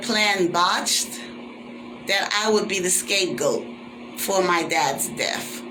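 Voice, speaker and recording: A man's high voice at a very slow pace, with very wide pitch swings, noticeable background noise and audible room echo. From Caribbean. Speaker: vlogger. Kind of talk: personal vlog monologue. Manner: animated.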